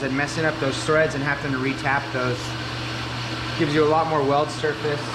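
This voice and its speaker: A man speaks at a moderate pace while noticeable background noise runs behind him. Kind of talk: tutorial narration. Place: workshop.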